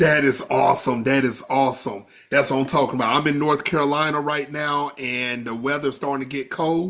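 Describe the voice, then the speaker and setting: Animated and at a fairly high pitch, a man talks at a fairly quick pace with hardly any pauses in a very clean recording with a silent background. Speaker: podcast host. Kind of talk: interview.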